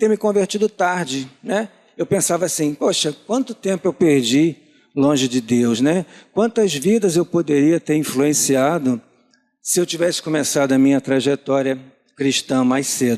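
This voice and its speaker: Lively intonation and a dark, mellow tone at a moderate pace, with very even loudness and a dry, close sound with no echo. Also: man. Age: 60s. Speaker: church lay preacher. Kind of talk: sermon.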